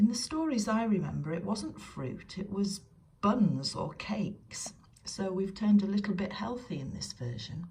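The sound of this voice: An unforced reading voice rises and falls with lively intonation.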